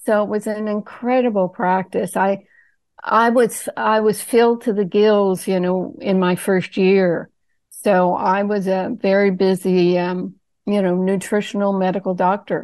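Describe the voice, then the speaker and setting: In a normal speaking voice, a woman talks at a fairly slow pace with medium pitch and fairly even intonation against a quiet background. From Nova Scotia, Canada. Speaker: medical doctor and author. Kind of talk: interview, health talk.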